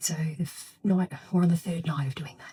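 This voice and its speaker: Soft-spoken and somewhat breathy, a woman speaks at a fairly low pitch with a dark, mellow tone. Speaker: vlogger and mother. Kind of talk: casual vlog talk to camera. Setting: at home, getting ready for bed. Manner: quiet, soft-spoken.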